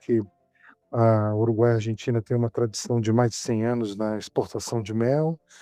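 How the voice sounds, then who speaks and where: Music plays in the background as a man speaks at a moderate pace. His voice sits at a medium pitch, with a dry, close sound and no echo. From Brazil, Rio de Janeiro and interior. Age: 60s. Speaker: beekeeper and business founder. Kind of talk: podcast interview. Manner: halting, many repetitions and fillers.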